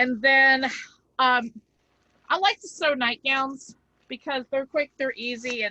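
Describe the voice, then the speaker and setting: A high, bright, sharp-toned woman's voice, raised and projected. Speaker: crafting channel co-host. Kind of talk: casual chat.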